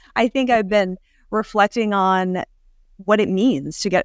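Recorded very cleanly against a silent background, with a dry, close sound and no echo, a woman speaks in a plain, everyday voice at medium pitch with ordinary pitch variation. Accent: American. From Rhode Island, US. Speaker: company founder and CEO. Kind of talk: interview.

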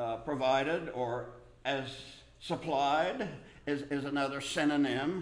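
Amid audible room echo, a man talks at a fairly slow pace with ordinary pitch variation.

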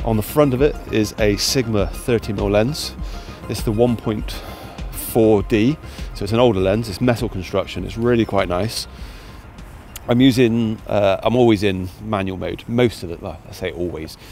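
Over faint background music, a man with a fairly low pitch and ordinary pitch variation speaks at a fairly slow pace in a dry recording with no echo. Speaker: photographer vlogger. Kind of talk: casual vlog chat. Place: open country. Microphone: lapel.

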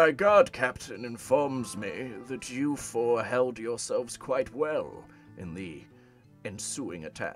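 Put-on character voice at a fairly slow pace over faint music in the background. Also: man, medium pitch for a man. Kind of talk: formal, archaic.

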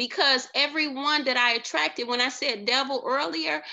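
A woman's high voice with very wide pitch swings at a fairly slow pace. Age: 50s. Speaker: life coach. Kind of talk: motivational monologue. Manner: casual with frequent fillers.

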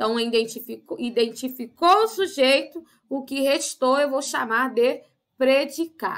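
A woman with a high pitch and lively intonation, fairly slow in pace, against a quiet background. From Brazil. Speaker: primary school teacher. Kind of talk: lesson for children. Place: home room.

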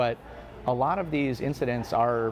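Fairly even intonation over light background noise. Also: man. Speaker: interviewed local reporter. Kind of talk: interview answer. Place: cafe. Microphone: lapel.

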